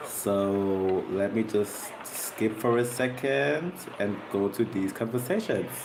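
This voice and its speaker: A man with a non-native accent speaks at a very slow pace. The room echo is audible and there is noticeable background noise. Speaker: content creator reacting to videos. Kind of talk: casual reaction commentary. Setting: at home, bright light.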